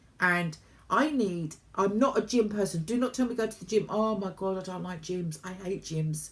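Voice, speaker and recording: With a British accent, a woman speaks at a moderate pace and medium pitch, somewhat breathy. Her pitch varies in an ordinary way while her loudness swings widely. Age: 60s. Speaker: vlogger. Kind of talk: casual chat.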